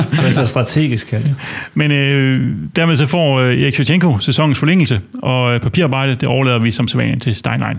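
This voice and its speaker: At a fairly quick pace, a man with a plain, everyday voice talks at a medium pitch, with ordinary pitch variation and very even loudness. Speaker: fan podcast host. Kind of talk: casual football discussion.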